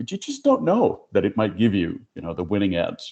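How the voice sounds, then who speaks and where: A man talks fairly quickly with a Spanish accent. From Puerto Rico. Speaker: HR professional, panelist. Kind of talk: panel discussion.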